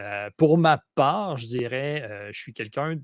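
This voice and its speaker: A man with a Quebec accent, lively intonation and a dry, close sound with no echo. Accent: Québécois. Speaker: role-playing game player. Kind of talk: casual chat. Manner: halting.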